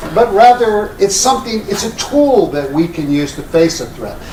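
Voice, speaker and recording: With an American accent, a man talks at a fairly slow pace with lively intonation over noticeable background noise. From Texas. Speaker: international law scholar. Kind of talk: panel talk.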